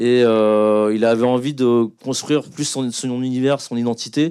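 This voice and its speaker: A man of medium pitch talks in an unremarkable speaking voice. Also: very clean recording, silent background. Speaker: film director. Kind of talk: panel talk. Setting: stage with audience.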